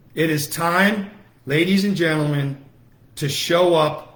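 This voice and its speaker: There is audible room echo around a man with a fairly high pitch. His tone is animated, his pace fairly slow and his pitch variation ordinary. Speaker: political activist. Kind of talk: livestream rally speech. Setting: Facebook Live broadcast. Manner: loud.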